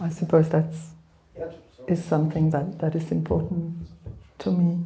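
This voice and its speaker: A woman speaks at a moderate pace in a dark, mellow, somewhat breathy tone with fairly even intonation. Room echo is audible. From Czechoslovakia (born Belgrade). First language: Serbo-Croatian. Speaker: author. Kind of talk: book launch conversation. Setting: live event with audience. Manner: hesitant, many fillers.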